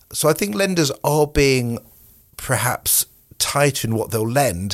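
A man with a British accent speaks with lively intonation in a very clean recording with a silent background. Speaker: mortgage adviser. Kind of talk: casual chat.

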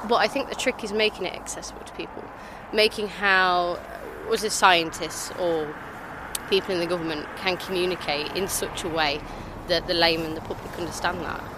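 Over noticeable background noise, a woman speaks at a fairly quick pace and a fairly low pitch, with ordinary pitch variation and big swings in loudness. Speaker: scientist, molecular biologist. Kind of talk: casual street chat. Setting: outdoors.

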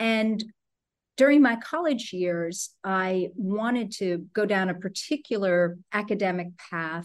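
An ordinary speaking voice with an American accent, fairly slow, with ordinary pitch variation, against a quiet background. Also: woman, medium pitch for a woman. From New Jersey. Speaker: leadership coach. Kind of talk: interview conversation.

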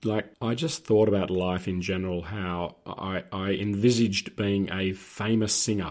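A man with an Australian accent, fairly low pitch, moderate pace, fairly even intonation and hardly any pauses. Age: 60s. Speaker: former police officer. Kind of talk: casual chat.

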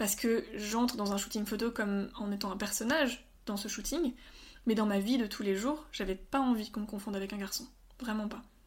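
The woman's voice is somewhat breathy and fairly high in pitch. She talks at a fairly quick pace with fairly even intonation. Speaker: medical student. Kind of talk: interview.

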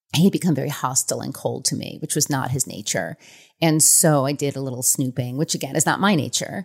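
Talking at a very fast pace with an American accent, a woman uses a very deep, low pitch, ordinary pitch variation, and vocal fry. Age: 40s. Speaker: author. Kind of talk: interview.

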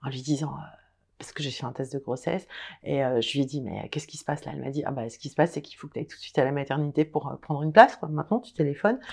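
A woman's very fast speech, very deep and low in pitch, with big swings in loudness and ordinary pitch variation. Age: 50s. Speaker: menopause author and social media account holder. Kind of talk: casual interview conversation. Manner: smiling.

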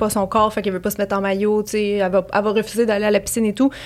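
There is noticeable noise in the background. A woman with a fairly high voice talks very fast. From Quebec, Montreal. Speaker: YouTuber and influencer. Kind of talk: casual chat.

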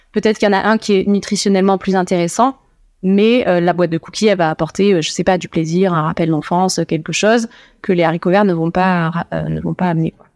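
In a very clean recording with a silent background and a dry, close sound with no echo, a woman with an ordinary speaking voice talks at a fairly quick pace and medium pitch with fairly even intonation. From Toulouse, southwest France. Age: 30s. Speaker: student dietitian. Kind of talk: casual chat. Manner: laughs often.

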